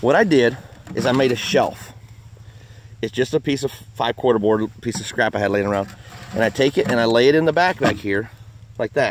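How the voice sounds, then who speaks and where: A man speaks at a fairly quick pace with ordinary pitch variation. The sound is dry with no echo, and there is noticeable background noise. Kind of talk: casual outdoor tutorial commentary. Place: forest. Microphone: phone near.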